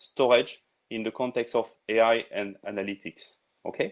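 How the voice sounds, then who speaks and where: This is a man speaking. He has a French accent. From France. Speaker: tech industry presenter. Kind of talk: webinar presentation. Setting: online webinar. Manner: halting, many fillers.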